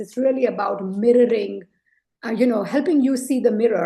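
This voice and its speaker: A woman with a fairly high pitch and a dark, mellow tone speaks at a fairly quick pace, somewhat breathy, with ordinary pitch variation. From India. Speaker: leadership coach and author. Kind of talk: interview conversation. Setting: podcast interview.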